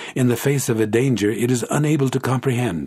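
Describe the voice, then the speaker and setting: At a fairly quick pace, a man with a fairly low, somewhat breathy voice speaks in a very clean recording with a silent background. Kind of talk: literary audiobook reading, first-person narration of a classic novel.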